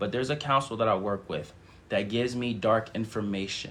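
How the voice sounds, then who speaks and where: The pace is moderate. Pitch variation is ordinary. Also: man. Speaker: spiritual teacher and channeler. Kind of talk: livestream spiritual service. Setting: live stream. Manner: lots of audible breathing.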